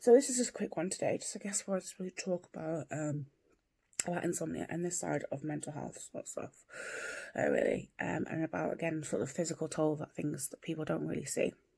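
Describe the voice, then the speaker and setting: A soft-spoken woman with an English accent talks at a fairly quick pace, her loudness swinging widely. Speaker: vlogger. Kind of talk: casual vlog monologue. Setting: at home, early morning. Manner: soft-spoken, quiet; hesitant, many fillers.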